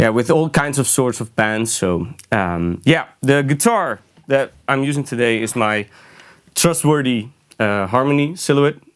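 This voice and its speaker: With a Dutch accent, a man speaks using lively intonation. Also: medium pitch for a man. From Netherlands. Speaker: guitarist. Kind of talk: gear demo tutorial. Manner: halting, many fillers.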